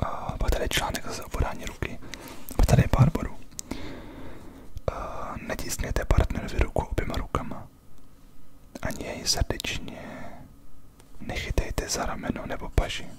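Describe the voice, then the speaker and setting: A man whispering in a relaxed tone at a moderate pace, with long, frequent pauses and noticeable background noise. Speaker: ASMR creator. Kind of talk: casual talk to camera, chatty ASMR whisper. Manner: whispered, relaxed, conversational.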